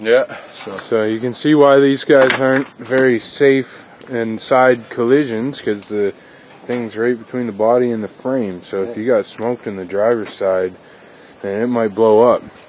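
Over light background noise, a man talks at a moderate pace with fairly even intonation, the sound dry with no echo. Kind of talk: casual vlog commentary. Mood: amused, relaxed. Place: garden. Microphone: phone near.

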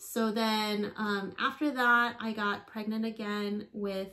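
A woman speaks very slowly in a bright, sharp tone with fairly even intonation. The background is quiet. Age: 40s. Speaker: fitness vlogger. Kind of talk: casual vlog talk to camera; casual vlog chat. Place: home room.

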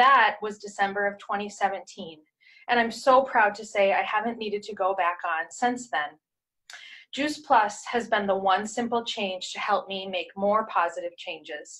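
A woman speaks at a fairly slow pace with a medium pitch and ordinary pitch variation. Her tone is bright and sharp, over a quiet background. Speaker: testimonial speaker; speaker. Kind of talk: testimony. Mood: earnest, calm. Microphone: webcam.

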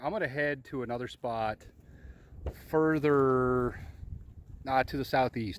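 Talking at a fairly slow pace with lively intonation, the speaker sounds dry, with no echo. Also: man. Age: 40s. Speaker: outdoors vlogger. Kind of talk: casual vlog narration. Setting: outdoors. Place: forest. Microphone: phone near.

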